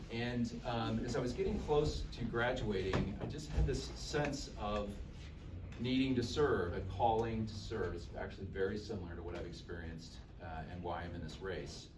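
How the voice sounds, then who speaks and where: A man with an American accent speaks at a moderate pace in a fairly low pitch, his intonation lively, with noticeable background noise and audible room echo. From Texas (Dallas). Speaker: political candidate. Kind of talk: campaign speech. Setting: political event with audience.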